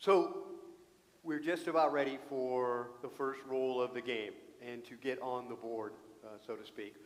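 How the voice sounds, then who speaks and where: A man talks fairly slowly at a medium pitch, with ordinary pitch variation and big swings in loudness. There is audible room echo. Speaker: Bible class teacher. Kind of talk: Bible class lesson. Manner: casual, joking.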